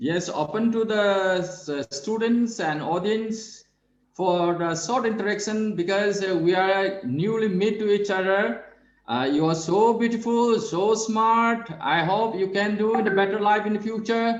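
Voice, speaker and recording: A man speaks in a high voice at a fairly slow pace, with ordinary pitch variation. Room echo is audible. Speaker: yoga professor. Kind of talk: webinar Q&A. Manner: calm.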